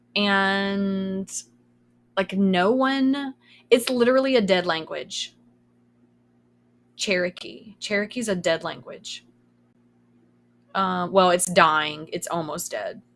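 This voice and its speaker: Speaking very slowly with long, frequent pauses, a woman with a Kentucky accent uses lively intonation at a medium pitch in a very clean recording with a silent background. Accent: Southern US (Kentucky). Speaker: streamer. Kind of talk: casual chat. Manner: sometimes trips over words.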